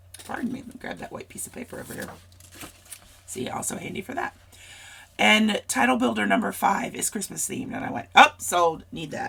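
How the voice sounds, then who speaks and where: With noticeable background noise around her, a woman speaks with long, frequent pauses. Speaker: scrapbooking crafter. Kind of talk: casual craft tutorial talk to camera.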